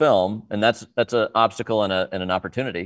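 A man with an unremarkable speaking voice talks at a medium pitch and a fairly quick pace, the sound dry and close with no echo. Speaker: film director. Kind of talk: interview.

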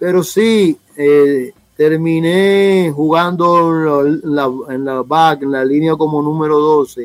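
Over background music, a man with a fairly high voice speaks very slowly with fairly even intonation. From Dominican Republic, south, raised in Santo Domingo. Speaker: rugby federation official. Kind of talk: interview.

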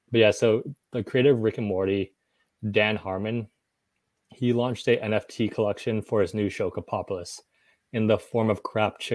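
The recording is very clean, with a silent background. The pace is fairly quick. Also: man. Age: 30s. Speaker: tech startup executive. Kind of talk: casual interview.

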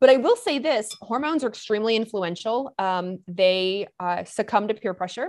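The background is quiet as a woman talks at a moderate pace. Her pitch is fairly high and her intonation lively. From US Midwest and Kentucky (Michigan-born, raised in Lexington). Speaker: hormone doctor. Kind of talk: interview. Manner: animated.

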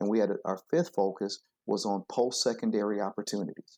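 Against a quiet background, the dark, mellow voice comes through with an American accent and ordinary pitch variation, sounding dry and close with no echo. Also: man. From US Midwest, Flint, Michigan. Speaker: education consultant and former principal. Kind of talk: interview.

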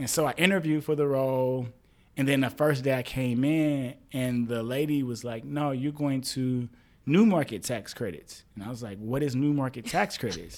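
Moderate pace with ordinary pitch variation. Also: man. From St. Louis, Missouri. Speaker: real estate development executive. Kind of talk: interview.

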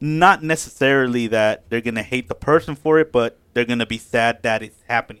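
In an unremarkable speaking voice, a man of medium pitch talks at a fairly quick pace with hardly any pauses, ordinary pitch variation and big swings in loudness, in a dry, close sound with no echo. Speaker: podcast panelist. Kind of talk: casual chat.

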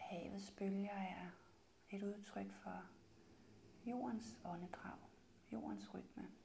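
The voice has a soothing tone and a very slow pace with long, frequent pauses. Noticeable background noise sits behind it. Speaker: meditation guide. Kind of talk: guided meditation. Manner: slow and soothing.

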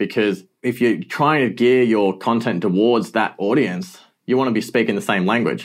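Very even loudness, with an Australian accent. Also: man, medium pitch for a man, ordinary pitch variation, moderate pace, very clean recording, silent background. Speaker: digital marketing agency founder. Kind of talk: interview answers.

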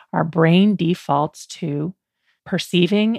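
A plain, everyday voice with lively intonation moves at a fairly slow pace, captured dry and close with no echo in a very clean recording with a silent background. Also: woman. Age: 50s. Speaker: podcast host and life coach. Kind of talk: solo podcast monologue.

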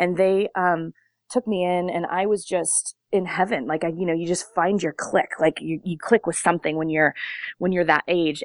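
A woman with a Californian accent and a fairly low pitch talks at a fairly quick pace with fairly even intonation, the sound dry and close with no echo over a quiet background. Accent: Californian American. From Long Beach, California. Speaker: dance studio owner and choreographer. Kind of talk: interview. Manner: hesitant, many fillers.

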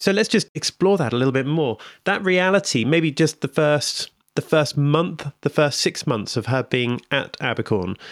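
In a very clean recording with a silent background, a man uses a normal speaking voice with a fairly high pitch. His intonation is lively, his loudness very even, and his pace moderate. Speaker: podcast host. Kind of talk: podcast interview.

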